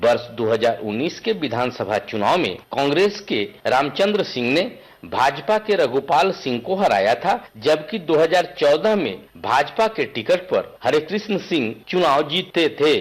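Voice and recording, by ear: A man at a fairly high pitch with big pitch swings, moderate pace and few pauses.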